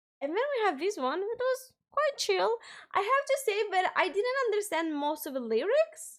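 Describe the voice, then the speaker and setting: A woman with an extremely high voice speaks at a moderate pace with a non-native accent. Her pitch swings very widely, and the recording is very clean with a silent background. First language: not English. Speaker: music reaction youtuber. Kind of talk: casual reaction commentary. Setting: live stream.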